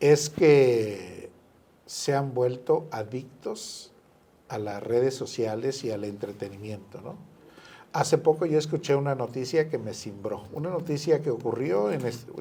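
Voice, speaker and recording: A man with a dark, mellow tone, medium pitch and lively intonation, at a fairly slow pace. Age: 60s. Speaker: author and businessman. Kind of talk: radio interview.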